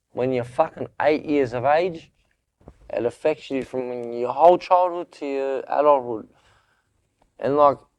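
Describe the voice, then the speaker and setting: Someone with an Australian accent speaks fairly slowly with fairly even intonation against a quiet background. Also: man. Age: 20s. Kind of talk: interview answer. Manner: casual, candid.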